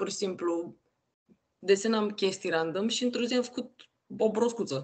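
Her speech carrying lively intonation, a woman talks. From Romania, Constanța; Romania. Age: 20s. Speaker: NFT artist and creator; creator. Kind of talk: casual interview. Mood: relaxed, casual. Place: home room. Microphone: video call.

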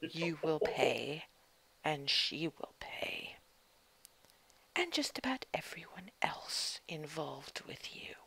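In a put-on character voice at middle pitch, someone growls in a raspy way at a very slow pace with long, frequent pauses. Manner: menacing, threatening.

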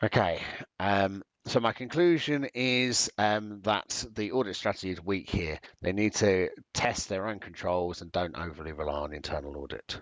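With a British accent and a fairly low pitch, a man talks at a moderate pace with lively intonation, the sound dry with no echo and the background quiet. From UK. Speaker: accountancy exam tutor; exam tutor. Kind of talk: online exam-prep webinar lecture. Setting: video call. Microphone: webcam.

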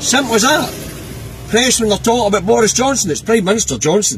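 A man with a Scottish accent speaks at a fairly quick pace in a high voice with lively intonation over light background noise. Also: dry sound with no echo. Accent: Scottish (Angus). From Scotland. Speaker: political vlogger, truck driver. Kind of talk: casual political commentary monologue. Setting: in a truck cab. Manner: informal, hesitant with many fillers. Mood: exasperated, animated. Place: car. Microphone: phone near.

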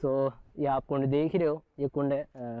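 A man speaks at medium pitch.

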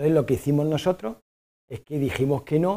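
A man's fairly high voice, dark and mellow in tone, carries ordinary pitch variation at a moderate pace against a quiet background. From Spain. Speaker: aid worker, foundation president. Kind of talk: lecture. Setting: stage with audience. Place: stage.

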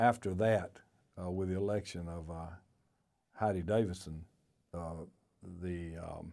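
With a Georgia accent, a man speaks in a very deep, low voice against a quiet background. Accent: US Southern (Georgia). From Athens, Georgia area. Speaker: former state party chairman. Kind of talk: oral history interview. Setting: on camera, recorded interview. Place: studio.

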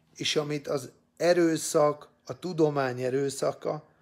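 Over a quiet background, a man with a fairly high pitch talks at a very slow pace. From Hungary. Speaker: political opinion vlogger. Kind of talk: opinion monologue. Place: home room. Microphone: phone near.

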